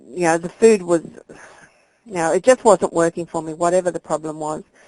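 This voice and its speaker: A woman's voice sits at a fairly low pitch with fairly even intonation. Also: dry, close sound with no echo. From Australia. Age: 50s. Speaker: weight loss client. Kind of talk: interview.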